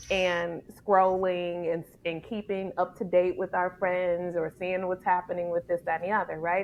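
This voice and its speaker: In an American accent, a woman with a medium pitch talks at a moderate pace in a monotone, flat intonation. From Detroit, Michigan, US. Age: 40s. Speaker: ministry leader and speaker. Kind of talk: podcast interview.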